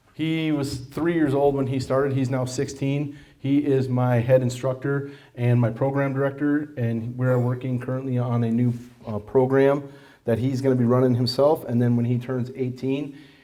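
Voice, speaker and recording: At a moderate pace, a man speaks in a medium-pitched, dark, mellow voice with flat, monotone intonation, and audible room echo surrounds him. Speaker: martial arts instructor and school owner. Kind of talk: presentation to an audience. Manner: loud; conversational, with many fillers.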